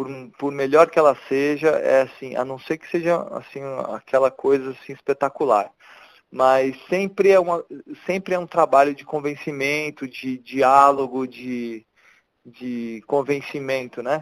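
A man's fairly high, fairly even voice at a fairly slow pace, with big swings in loudness, dry and close with no echo, on a very clean recording with a silent background. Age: 40s. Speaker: photojournalist and photo editor. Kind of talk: casual interview. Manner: halting, many repetitions.

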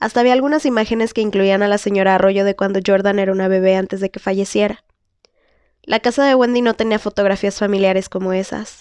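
A woman with an unremarkable speaking voice, medium pitch and fairly even intonation, at a fairly quick pace, in a dry, close sound with no echo. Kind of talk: audiobook reading of a novel chapter. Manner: occasionally stumbles and restarts words.

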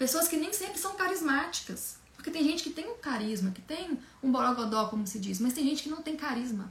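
A woman talks at a fairly quick pace with very wide pitch swings. Noticeable background noise runs behind her. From Minas Gerais, Brazil. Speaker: communication coach. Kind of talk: online lecture.

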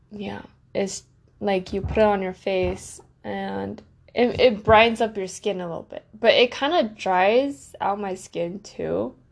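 A woman at a fairly slow pace, her loudness swinging widely. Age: 20s. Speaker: solo podcaster. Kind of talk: casual monologue.

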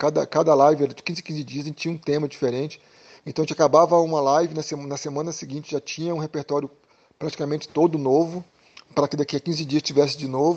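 A man's very fast, fairly high-pitched speech in a monotone, flat intonation. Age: 40s. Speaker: drummer and music school owner. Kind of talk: interview.

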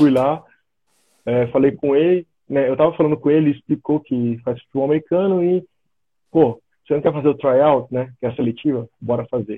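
Long, frequent pauses mark the speech of a man with a fairly high voice. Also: ordinary pitch variation. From Brazil, São Paulo state (São José dos Campos). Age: 30s. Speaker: American football linebacker. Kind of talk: casual live-stream interview.

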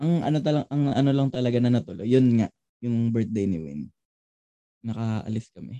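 Heard in a dry, close sound with no echo, a man speaks at a medium pitch with a dark, mellow tone and lively intonation. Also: moderate pace. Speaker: podcast co-host, college student. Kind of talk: casual chat.

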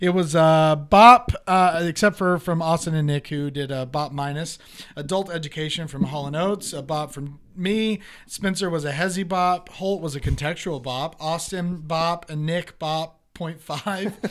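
This man's voice sits at a fairly high pitch, with ordinary pitch variation. He talks at a fairly slow pace. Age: 20s. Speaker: podcast co-host. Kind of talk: casual chat. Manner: animated.

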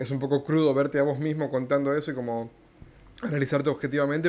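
Very fast speech from a man at medium pitch, monotone and flat in intonation. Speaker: stand-up comedian. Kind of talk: casual interview. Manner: halting, with many fillers.

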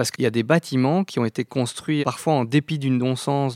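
An unremarkable speaking voice with ordinary pitch variation is captured in a dry, close sound with no echo, on a very clean recording with a silent background. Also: man. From Belgium, Brussels. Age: 30s. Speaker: operations manager at an architecture firm. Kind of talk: interview.

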